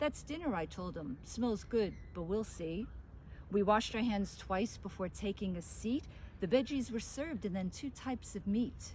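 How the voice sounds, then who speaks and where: Lively intonation in an unremarkable speaking voice, moderately paced. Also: woman, medium pitch for a woman. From New York City. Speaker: author and poet. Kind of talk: reading aloud.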